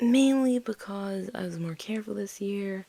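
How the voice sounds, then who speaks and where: Dark, mellow tone with ordinary pitch variation. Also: woman. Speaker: gaming youtuber. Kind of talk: casual gameplay commentary. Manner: hesitant, with fillers.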